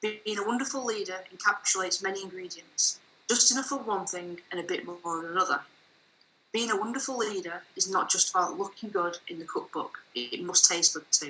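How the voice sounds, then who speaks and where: Over noticeable background noise, a woman with a northern English accent talks at a fairly quick pace with lively intonation. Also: medium pitch for a woman. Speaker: author. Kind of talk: reading aloud.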